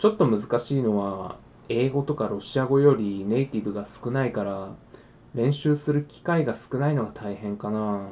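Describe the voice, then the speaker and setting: Here a man talks at a moderate pace and medium pitch. He has an unremarkable speaking voice with ordinary pitch variation. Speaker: podcaster, language learner. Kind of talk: casual monologue. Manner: casual, friendly.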